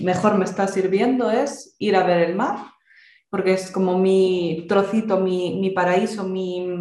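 Speaking very slowly, a woman with a Galician accent uses a medium pitch and fairly even intonation. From Galicia, Spain. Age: 20s. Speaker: exam candidate. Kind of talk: interview. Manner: talkative.

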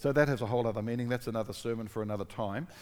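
A man with a fairly low voice rattles off his words very fast. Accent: New Zealand. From New Zealand. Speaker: pastor. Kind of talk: sermon.

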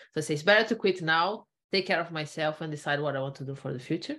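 A woman with a Portuguese accent speaks over a quiet background. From Brazil. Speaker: knowledge management consultant, former computer science researcher. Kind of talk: interview.

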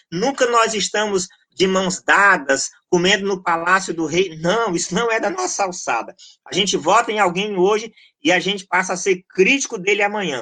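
Raising and projecting his voice, a man with a high pitch and a bright, sharp tone speaks at a moderate pace with ordinary pitch variation. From Goiás, Brazil. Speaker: pastor and researcher. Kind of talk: podcast interview.

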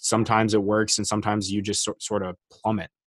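A man speaks at a fairly quick pace in an unremarkable speaking voice with a fairly low pitch. The recording is very clean with a silent background and a dry, close sound with no echo. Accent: American. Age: 20s. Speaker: soccer podcaster, club supporter. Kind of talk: casual chat.

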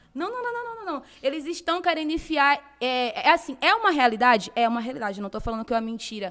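Very fast and with hardly any pauses, the voice makes very wide pitch swings and big swings in loudness over noticeable background noise. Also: woman, high pitch for a woman. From Brazil, Bahia (Salvador). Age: 20s. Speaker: fashion and lifestyle blogger, singer and model. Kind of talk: casual interview chat.

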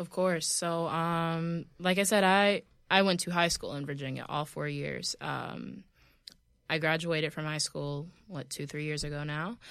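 With an American accent and a normal speaking voice, a woman speaks at a fairly slow pace in a fairly low pitch with fairly even intonation, in a very clean recording with a silent background. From US South. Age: 20s. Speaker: model and journalist. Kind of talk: casual chat. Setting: studio.

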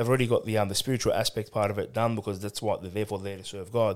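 On a very clean recording with a silent background, a man with an Australian accent speaks at a fairly low pitch with fairly even intonation. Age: 30s. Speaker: churchgoer and ministry volunteer. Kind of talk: casual chat. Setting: studio.

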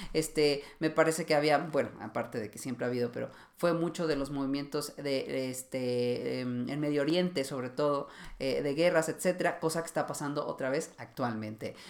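At a moderate pace, a man with a fairly high pitch and ordinary pitch variation talks in a plain, everyday voice. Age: 30s. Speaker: fashion stylist and podcast host. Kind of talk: solo educational podcast. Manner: casual, with frequent fillers.

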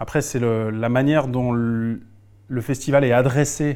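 His intonation is fairly even. The man's pitch sits in the middle range. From Alsace, France. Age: 40s. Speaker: improv actor and poet. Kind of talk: interview conversation. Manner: halting, frequent repetitions.

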